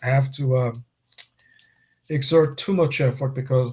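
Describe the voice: Using a slightly mellow tone, a man speaks at a moderate pace with a fairly high pitch and fairly even intonation.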